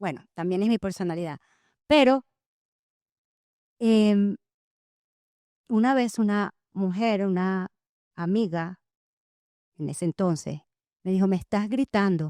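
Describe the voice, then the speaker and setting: A woman with a dark, mellow tone and medium pitch speaks fairly slowly with ordinary pitch variation and long, frequent pauses, the sound dry and close with no echo. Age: 50s. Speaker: trauma life coach and podcast host. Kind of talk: interview testimony. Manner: loud.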